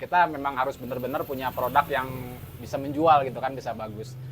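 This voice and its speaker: This voice belongs to a man. Its pitch is medium. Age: 40s. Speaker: fried rice stall owner. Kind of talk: interview. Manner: hesitant, many fillers.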